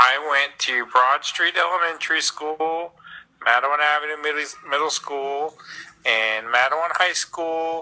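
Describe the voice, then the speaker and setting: With an American accent, a man speaks in an unremarkable speaking voice, fairly high in pitch and with fairly even intonation. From New Jersey. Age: 40s. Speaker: family member. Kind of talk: interview.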